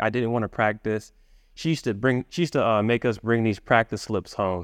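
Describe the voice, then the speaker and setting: A man with an American accent and an unremarkable speaking voice, medium in pitch, at a fairly quick pace, in a dry, close sound with no echo against a quiet background. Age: young. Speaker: violinist and internet entrepreneur. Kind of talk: interview conversation.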